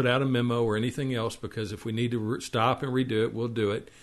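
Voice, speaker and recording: In a Texas accent, a man talks with monotone, flat intonation. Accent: Texas drawl. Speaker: web TV show host. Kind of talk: casual show intro. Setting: live internet stream. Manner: halting, many fillers and repeats.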